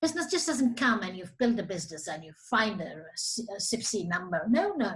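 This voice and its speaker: A woman talks at a fairly quick pace in a fairly high voice. Her pitch swings very widely. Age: 60s. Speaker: business association CEO. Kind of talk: interview.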